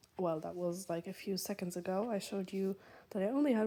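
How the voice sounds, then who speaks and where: At a moderate pace, a woman with a slight German accent speaks at a medium pitch in a dark, mellow tone. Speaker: knitting vlogger. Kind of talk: casual vlog talk. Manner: hesitant, many fillers.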